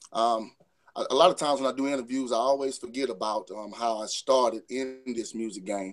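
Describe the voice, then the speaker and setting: A man with a Louisiana accent speaks at a medium pitch and a fairly quick pace. His pitch varies in an ordinary way. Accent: US Southern, Louisiana. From northern Louisiana (Saline). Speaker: R&B singer. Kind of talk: interview. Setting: remote call into radio show.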